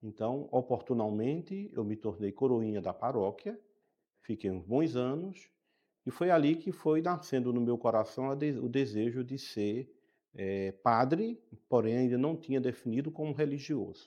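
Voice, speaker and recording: A plain, everyday voice speaks at a fairly slow pace with lively intonation. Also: man, medium pitch for a man. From Brazil, Pernambuco (Caruaru). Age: 60s. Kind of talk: interview.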